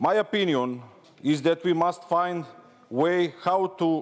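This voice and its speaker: This man has a Serbian accent and a high pitch. He speaks at a fairly slow pace. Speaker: trade union delegate. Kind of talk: congress speech. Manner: non-native, simple phrasing.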